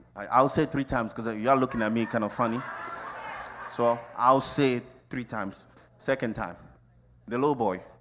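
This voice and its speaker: A man with an African accent, medium pitch and an animated tone, at a fairly quick pace broken by long, frequent pauses. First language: not English. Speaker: pastor. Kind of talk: sermon.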